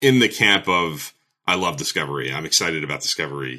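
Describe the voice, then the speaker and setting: The tone is bright and sharp, with vocal fry. The pace is fairly quick. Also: man. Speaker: YouTube show host and fan poller. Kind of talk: casual chat.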